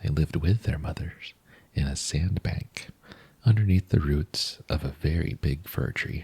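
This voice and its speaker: Dry and close with no echo, a man's very deep, low voice carries a gentle, dark, mellow tone and vocal fry at a fairly slow pace. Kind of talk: bedtime story reading. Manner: soft-spoken, gentle.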